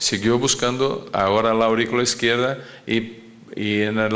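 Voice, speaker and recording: A man with a Portuguese accent at medium pitch, speaking at a fairly slow pace with fairly even intonation, plus audible room echo. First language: Portuguese (speaking Spanish). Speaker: cardiologist. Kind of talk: lecture. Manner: halting, many fillers and repetitions.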